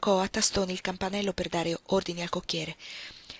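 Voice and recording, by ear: A natural voice reads the text aloud.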